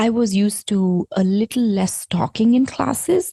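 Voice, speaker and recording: Somewhat breathy and dark, mellow in tone, a woman speaks at a medium pitch and fairly slow pace, the sound dry and close with no echo. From India. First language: not English (Indian language). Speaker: yoga teacher and podcast host. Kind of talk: podcast monologue.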